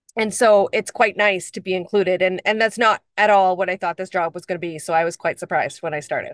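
With a Canadian accent, a woman talks at a very fast pace with hardly any pauses and fairly even intonation, the sound dry with no echo and the background quiet. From northwestern Ontario, Canada (First Nations). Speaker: guest. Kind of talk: webinar conversation. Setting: video call. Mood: warm, pleased. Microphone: video call.

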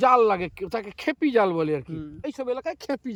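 An extremely high-pitched man with lively intonation, in dry, close sound with no echo. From West Bengal, Purba Medinipur coast. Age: 60s. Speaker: retired local resident. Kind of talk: casual interview. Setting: outdoors on beach.

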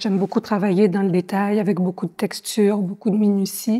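A woman talks at a fairly quick pace, somewhat breathy, with a dark, mellow tone. Her intonation is monotone and flat, and the background is quiet. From France. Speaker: visual artist, ceramist. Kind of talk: interview. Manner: hesitant, with frequent fillers and repetitions. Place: hall. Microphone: lapel.

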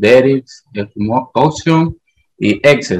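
A man with a Honduran accent, very slow, against a quiet background. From Honduras. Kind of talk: question in online meeting. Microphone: video call.

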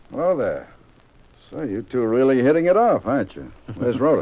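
Using a put-on character voice, a man sounds gruff at medium pitch, moving at a fairly quick pace with big swings in loudness. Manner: gruff, threatening, sarcastic.

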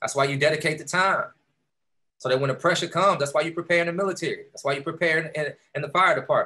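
A man with an American accent, a high pitch and a bright, sharp tone, at a very fast pace with fairly even intonation and long, frequent pauses. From Texas, Houston. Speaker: entrepreneur, keynote speaker; keynote speaker. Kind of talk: motivational keynote speech. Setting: video call. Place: home room. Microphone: video call.

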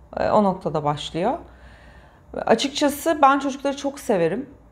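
Her pitch swings very widely. The woman keeps a moderate pace. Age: 40s. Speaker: patient sharing IVF story. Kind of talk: interview testimony. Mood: warm, emotional recollection. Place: studio.

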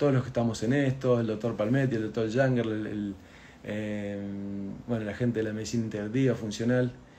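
Dark, mellow male speech, fairly quick in pace and ordinary in pitch variation. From Argentina. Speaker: doctor. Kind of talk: health explainer video, answering viewer questions. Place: home room. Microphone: phone near.

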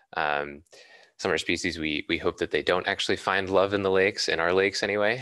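A man with an American accent speaks at a fairly quick pace and a very deep, low pitch, with fairly even intonation. His tone is bright and sharp, in dry sound with no echo against a quiet background. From Boston, Massachusetts. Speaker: environmental scientist. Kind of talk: lecture. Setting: video call. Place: home room. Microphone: studio mic.

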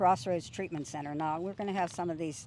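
Her tone is dark and mellow, and she talks at a very fast pace. The sound is dry with no echo, though background noise is noticeable. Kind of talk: interview answer. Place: garden. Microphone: handheld.

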